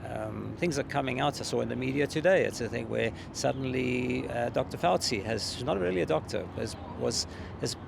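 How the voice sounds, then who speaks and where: A man with a South African accent speaks over noticeable background noise. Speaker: court observer, protester. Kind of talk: street interview. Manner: halting, many fillers.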